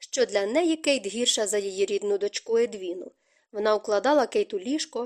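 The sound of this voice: An unforced reading voice comes across with a quiet background.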